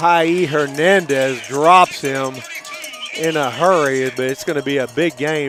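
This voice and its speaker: Against crowd noise in the background, a man speaks at a fairly slow pace in a fairly high pitch with ordinary pitch variation. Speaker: high school football play-by-play announcer. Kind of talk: live commentary. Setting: in the stands at a high school football game. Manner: quiet, talking softly.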